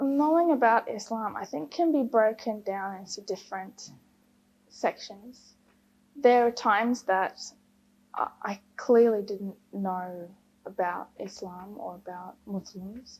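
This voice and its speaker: A woman with an Australian accent speaks at a very slow pace. Her fairly high voice has lively intonation. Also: big swings in loudness. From Queensland, Australia. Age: 20s. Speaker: engineer, convert to Islam. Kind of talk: personal testimony interview. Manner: hesitant, many fillers.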